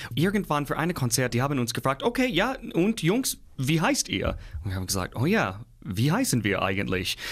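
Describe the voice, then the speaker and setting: A man is speaking with an English accent. His pace is moderate. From US Midwest. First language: English (speaking German). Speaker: opera singer. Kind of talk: interview.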